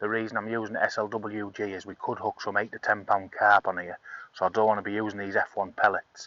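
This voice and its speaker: Here is a man with an English accent and a fairly low pitch. He speaks in a monotone, flat way. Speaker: angling video host. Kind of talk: tutorial. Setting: outdoors. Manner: soft-spoken.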